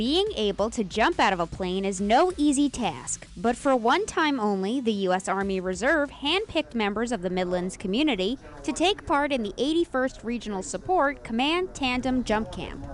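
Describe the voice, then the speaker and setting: Noticeable background noise sits behind a woman whose fairly high voice makes very wide pitch swings at a moderate pace. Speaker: TV news reporter. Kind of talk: TV news feature voice-over.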